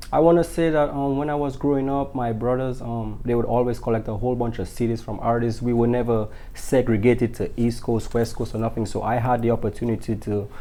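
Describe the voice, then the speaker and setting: A man at a very fast pace with a strong Dominican accent, medium pitch, fairly even intonation and hardly any pauses. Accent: strong Dominican Caribbean. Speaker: singer-songwriter. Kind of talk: interview. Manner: hesitant, many fillers.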